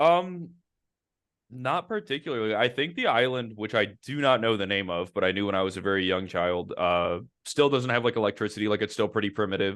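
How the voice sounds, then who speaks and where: Using a normal speaking voice, a man talks at a fairly quick pace with a fairly low pitch and lively intonation. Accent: American. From Ohio, US Midwest. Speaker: podcast host. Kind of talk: casual chat.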